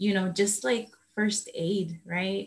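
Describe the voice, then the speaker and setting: A woman talks at a fairly slow pace, her voice somewhat breathy. Her intonation is flat and monotone. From El Salvador, city. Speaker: moderator. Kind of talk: Q&A interview.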